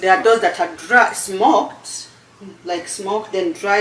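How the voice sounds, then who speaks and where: With noticeable background noise behind her, a woman speaks with a Ugandan accent and ordinary pitch variation. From Uganda, eastern region (Busoga). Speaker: cooking channel host. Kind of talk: cooking tutorial chat. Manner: halting, repeats words.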